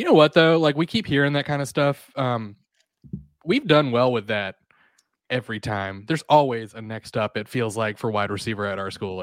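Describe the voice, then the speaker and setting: In a dry, close sound with no echo, a man uses a normal speaking voice at a medium pitch and moderate pace, with ordinary pitch variation. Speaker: podcast co-host. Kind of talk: casual chat.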